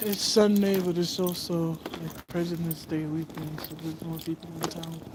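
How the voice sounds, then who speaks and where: A woman with an American accent speaks at a moderate pace and fairly low pitch, her intonation flat and monotone. Her loudness swings widely over noticeable background noise. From US. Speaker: livestreamer. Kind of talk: casual chat.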